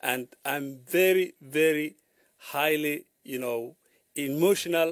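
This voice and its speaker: A man with a Somali accent, fairly high-pitched, with ordinary pitch variation, at a very slow pace, in a dry, close sound with no echo. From Somalia. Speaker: journalist. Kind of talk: radio interview. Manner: halting, many fillers.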